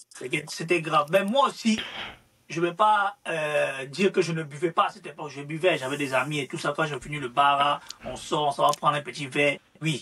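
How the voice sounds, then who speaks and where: With an Ivorian accent, a man talks at a moderate pace while his loudness rises and falls sharply. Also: fairly high pitch for a man, ordinary pitch variation. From Ivory Coast. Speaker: social media influencer. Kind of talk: interview. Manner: hesitant, repetitive.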